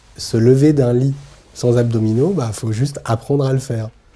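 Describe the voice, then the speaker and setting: At a fairly slow pace, a man speaks in a dark, mellow tone with a medium pitch. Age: 30s. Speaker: person living with muscular dystrophy, documentary subject. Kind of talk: documentary interview testimony. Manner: hesitant, many filler pauses.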